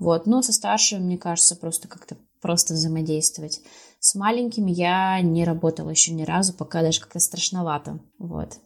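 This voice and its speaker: Speaking at a moderate pace, a woman with a plain, everyday voice has a fairly low pitch and ordinary pitch variation. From Sverdlovsk region, Russia (Pervouralsk). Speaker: schoolteacher of English. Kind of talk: podcast interview.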